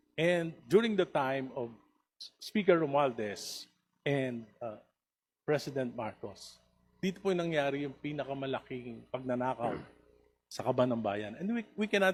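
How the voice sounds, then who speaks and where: This man talks at a fairly slow pace with lively intonation. His pitch is fairly high. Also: big swings in loudness. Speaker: congressman. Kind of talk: heated debate. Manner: passionate, raised voice.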